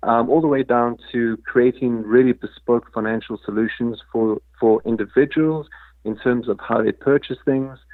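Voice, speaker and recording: A man with a slight South African accent speaks at a medium pitch. His pace is moderate and his intonation fairly even. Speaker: crypto foundation executive. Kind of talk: interview. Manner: halting, many fillers.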